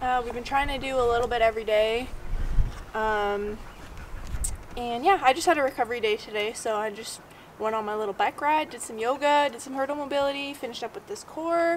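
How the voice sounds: A woman talks at a fairly quick pace in a fairly high pitch with ordinary pitch variation.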